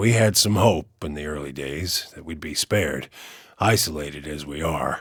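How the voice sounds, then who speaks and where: A man speaks in a put-on character voice that is raspy. His pace is fairly slow, with lively intonation. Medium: video game. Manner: plain-spoken, gruff.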